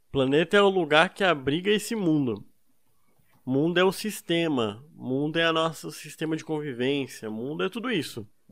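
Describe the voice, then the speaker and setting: Using a normal speaking voice, the man keeps a moderate pace. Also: fairly high pitch for a man, lively intonation. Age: 20s. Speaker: podcast co-host. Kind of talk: casual chat.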